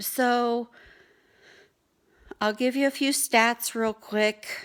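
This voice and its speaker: A woman talks at a very slow pace with fairly even intonation and a high pitch. The recording is very clean with a silent background. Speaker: vlogger. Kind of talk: casual vlog update. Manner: slurred speech; rambling, halting.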